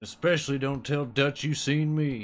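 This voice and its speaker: A man's put-on character voice at a fairly high pitch and moderate pace, in a very clean recording with a silent background. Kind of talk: Western drawl impression. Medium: game stream. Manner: gruff, laconic.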